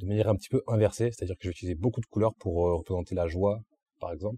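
A man's fairly low voice is somewhat breathy, with a dark, mellow tone and ordinary pitch variation. The sound is dry and close, with no echo and a quiet background. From southern France, Antibes. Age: 20s. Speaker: graphic artist. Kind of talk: interview. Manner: hesitant with fillers.

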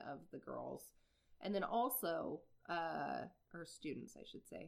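A woman talks at a very slow pace with vocal fry. Her pitch sits fairly low. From Iowa. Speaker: podcast co-host. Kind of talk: casual chat.

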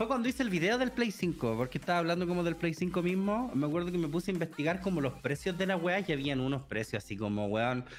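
Talking very fast with hardly any pauses, a man with a Chilean accent uses a high voice that swings very widely in pitch. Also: very even loudness. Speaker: translator, streamer and youtuber. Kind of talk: casual chat.

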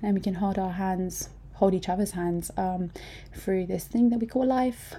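At a moderate pace, a somewhat breathy voice rises and falls by a normal amount. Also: woman. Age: 20s. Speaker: podcast host. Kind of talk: casual monologue. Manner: hesitant, many fillers.

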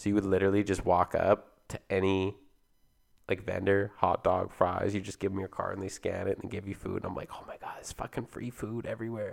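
The speaker is a man with a Canadian accent. His loudness swings a lot. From Canada (Alberta, Ontario). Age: 20s. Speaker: podcast co-host. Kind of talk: casual chat.

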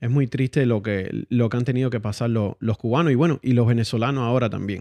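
A man's dark, mellow voice against a quiet background, with hardly any pauses. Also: dry, close sound with no echo. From Cuba. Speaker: guest. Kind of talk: casual interview.

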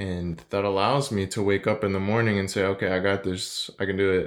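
Soft-spoken speech at a fairly slow pace, in a very clean recording with a silent background. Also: man. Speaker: podcast host. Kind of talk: solo podcast monologue, motivational talk. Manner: formerly monotone and soft-spoken, now working to be more dynamic.

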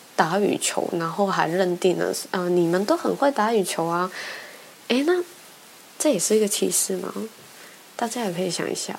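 With noticeable background noise behind her, a woman of medium pitch speaks with lively intonation. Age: 20s. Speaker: podcast host. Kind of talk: personal monologue. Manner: halting, many fillers.

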